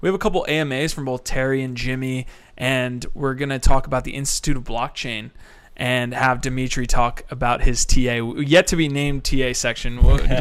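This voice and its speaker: A man with a plain, everyday voice talks at a fairly quick pace, medium pitch and fairly even intonation. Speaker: podcast host. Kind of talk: casual podcast chat.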